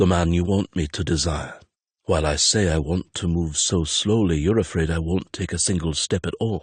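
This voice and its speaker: A man puts on a character voice that is very deep, low and rumbling, with a gentle tone. He speaks at a moderate pace with fairly even intonation. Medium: read story. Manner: quiet, terse, gentle.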